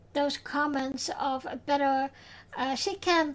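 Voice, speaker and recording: This woman talks at a very slow pace in a high pitch, with a Dutch accent and fairly even intonation. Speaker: podcast host. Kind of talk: podcast recap, personal tribute. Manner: halting, many fillers.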